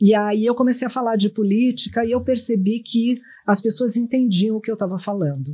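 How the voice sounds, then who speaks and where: A woman speaks at medium pitch and a moderate pace, somewhat breathy with a dark, mellow tone. The recording is very clean, with a silent background. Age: 60s. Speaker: journalist and pollster. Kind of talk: podcast interview. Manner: animated.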